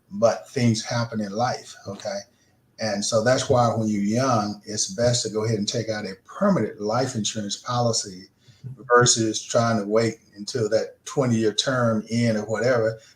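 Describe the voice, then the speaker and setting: Monotone, flat intonation marks this man's medium-pitched, somewhat breathy voice. His pace is moderate. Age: 70s. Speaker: insurance agent. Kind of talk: radio interview. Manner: casual, conversational.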